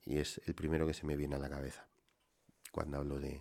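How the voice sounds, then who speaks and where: A man speaks at a moderate pace in a very deep, low pitch with vocal fry. His intonation is flat and monotone. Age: middle-aged. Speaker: solo whisky podcaster. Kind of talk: relaxed solo monologue. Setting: home wine cellar.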